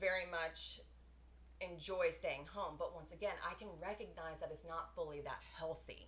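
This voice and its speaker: Audible room echo surrounding a woman's fairly slow speech. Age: late 30s. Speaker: guest on a podcast talking about her divorce. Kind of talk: casual chat. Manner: loud.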